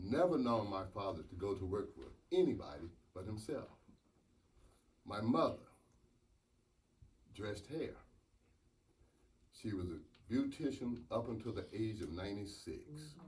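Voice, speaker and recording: A man with a Southern US accent talks at a fairly slow pace with lively intonation, big swings in loudness and long, frequent pauses. His voice is somewhat breathy, and there is audible room echo. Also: fairly low pitch for a man. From US South, North Carolina. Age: 70s. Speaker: mayor. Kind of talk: acceptance speech.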